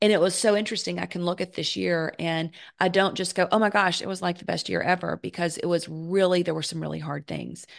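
A woman talks at a fairly quick pace in a fairly low pitch with vocal fry. The background is quiet. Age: 50s. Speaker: podcast host. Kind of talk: solo podcast monologue. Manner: animated.

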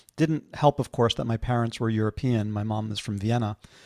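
Fairly even in intonation, a man with an American accent and a plain, everyday voice talks at a fairly quick pace and a medium pitch. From New York City (Manhattan). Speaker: former finance technology executive. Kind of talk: interview.

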